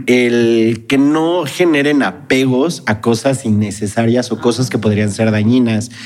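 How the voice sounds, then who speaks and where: There is noticeable background noise behind this man. He speaks at a medium pitch with ordinary pitch variation. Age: 30s. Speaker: Star Wars expert and Jedi academy founder. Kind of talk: casual chat.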